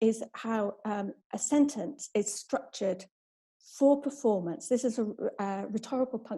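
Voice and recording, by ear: Quiet background, ordinary pitch variation, and reading aloud in a natural voice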